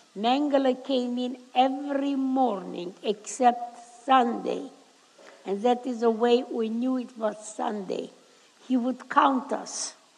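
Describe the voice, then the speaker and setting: A woman speaks with a high pitch. Noticeable background noise is present in the recording. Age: 80s+. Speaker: Holocaust survivor. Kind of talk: public talk to a school audience.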